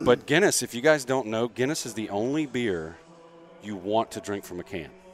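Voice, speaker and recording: Over music in the background, a man at medium pitch speaks at a moderate pace in an animated tone, with lively intonation and big swings in loudness. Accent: American. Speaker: podcast co-host, gym owner. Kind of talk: casual chat. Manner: casual, animated.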